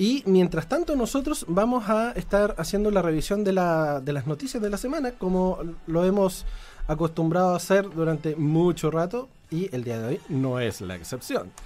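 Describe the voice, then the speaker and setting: A high-pitched man's voice in a Chilean accent, with very wide pitch swings and a moderate pace. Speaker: radio host. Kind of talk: live radio chat. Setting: radio studio.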